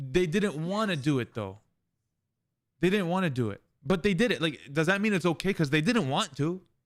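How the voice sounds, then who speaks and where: A man's high-pitched, animated voice at a fairly quick pace, with lively intonation and long, frequent pauses, in a very clean recording with a silent background. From Palestine. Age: 20s. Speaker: streamer. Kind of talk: heated debate. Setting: live stream.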